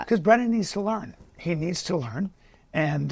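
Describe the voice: A man's somewhat breathy voice, lively in intonation, at a moderate pace.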